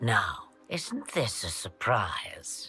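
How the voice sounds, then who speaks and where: Whispering in a put-on character voice with a theatrical, amused tone, someone speaks over faint music in the background. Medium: video game. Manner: knowing, theatrical, wryly amused.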